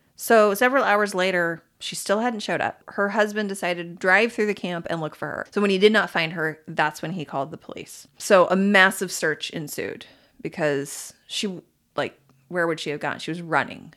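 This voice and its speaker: A woman with a plain, everyday voice speaks at a medium pitch with ordinary pitch variation and big swings in loudness, on a very clean recording with a silent background. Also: moderate pace. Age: 40s. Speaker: podcast host, storyteller. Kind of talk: casual storytelling chat. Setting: home office.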